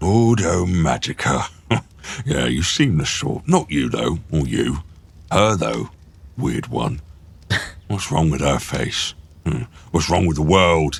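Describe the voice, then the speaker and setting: In a put-on character voice, the speaker goes at a fairly slow pace with long, frequent pauses. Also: man, very deep, low pitch for a man. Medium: actual play. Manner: blunt, hearty, boastful.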